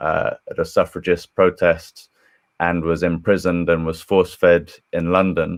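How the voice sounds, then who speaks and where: A man with an English accent speaks in a very deep, low pitch. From England. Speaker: historian and screenwriter. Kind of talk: panel discussion. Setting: live stream video call.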